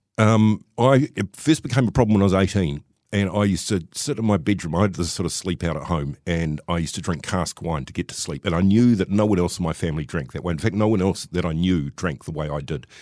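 Talking very fast with a New Zealand accent, a man uses lively intonation in a very deep, low pitch. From New Zealand, Wellington. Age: 50s. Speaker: recovering alcoholic. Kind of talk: personal testimony interview.

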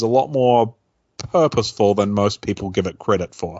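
Fairly quick delivery in a normal speaking voice, its pitch variation ordinary. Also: man. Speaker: radio host. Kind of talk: casual chat.

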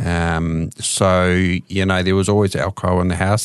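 A man with a New Zealand accent and a very deep, low pitch. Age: 50s. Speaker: addiction counsellor and recovering alcoholic. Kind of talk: testimony. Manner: hesitant, many fillers.

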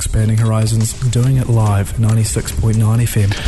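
A man with a New Zealand accent is heard over noticeable background noise. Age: 50s. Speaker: community radio host. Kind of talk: radio hosting. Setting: radio studio. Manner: animated, laughing.

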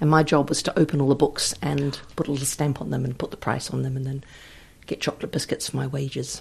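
Very fast and monotone, with flat intonation, a woman speaks at a very deep, low pitch with vocal fry. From New Zealand, Wellington. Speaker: novelist. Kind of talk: interview.

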